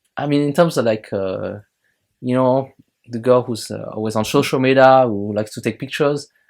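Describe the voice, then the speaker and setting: Speaking fairly quickly in a French accent, a man uses a medium pitch and ordinary pitch variation. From France. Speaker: YouTuber reviewing films and shows. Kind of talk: casual video review monologue. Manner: hesitant, many fillers.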